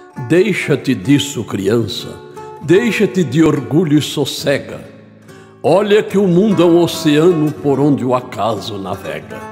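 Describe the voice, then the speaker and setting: A man at a fairly high pitch with very wide pitch swings, a fairly slow pace and long, frequent pauses, music in the background. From Brazil, São Paulo state. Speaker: poetry reciter. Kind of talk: poetry reading. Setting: studio, with guitar accompaniment.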